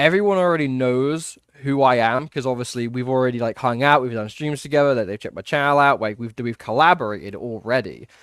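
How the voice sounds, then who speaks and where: The man races along at a very fast pace, with ordinary pitch variation. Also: medium pitch for a man, hardly any pauses, very clean recording, silent background. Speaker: YouTuber guest on a livestream. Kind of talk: casual chat. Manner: fast, filler-heavy.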